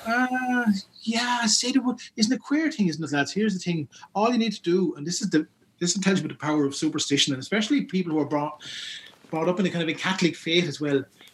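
Speaking in a Wexford Irish accent, a man has a high-pitched voice. His intonation is lively and his pace very fast. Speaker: folklorist and youth worker. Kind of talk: interview about folklore.

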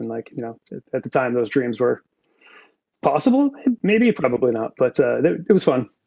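A man with an American accent speaks in a plain, everyday voice at medium pitch. His pace is fairly quick, and his pitch varies in an ordinary way. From Massachusetts. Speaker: audio engineer. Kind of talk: casual interview. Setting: video call.

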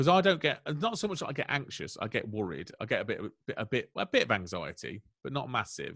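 The voice moves at a very fast pace with very wide pitch swings. Its tone is bright and sharp, with vocal fry. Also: man, fairly high pitch for a man, very clean recording, silent background. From Melton Mowbray, East Midlands England. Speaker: comedian. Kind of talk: casual chat, interview.

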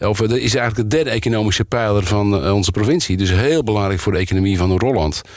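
With hardly any pauses, a man talks at a very fast pace, his loudness very even, his pitch fairly low with ordinary variation. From Noord-Holland, Volendam area. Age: 60s. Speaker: provincial politician, former police officer. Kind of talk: interview. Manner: hesitant, many filler sounds.

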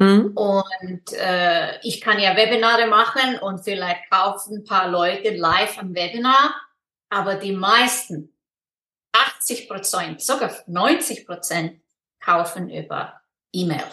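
At a very slow pace, a woman speaks in a bright, sharp tone with ordinary pitch variation. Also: medium pitch for a woman. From Iceland. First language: Icelandic (speaking German). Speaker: online business mentor. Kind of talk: interview. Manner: halting.

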